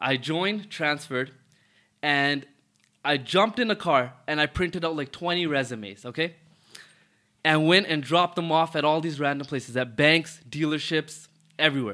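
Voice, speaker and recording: A man with a Toronto accent, fairly high pitch for a man, a moderate pace and long, frequent pauses, on a very clean recording with a silent background. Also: ordinary pitch variation. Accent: Toronto Canadian English. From Toronto, Canada (Rexdale). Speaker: car dealership owner. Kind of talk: casual interview.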